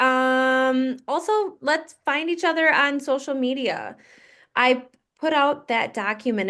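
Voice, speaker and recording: A woman with a Wisconsin accent speaks at a very slow pace. Her pitch is high, and the background is quiet. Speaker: fitness coach. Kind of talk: group coaching call.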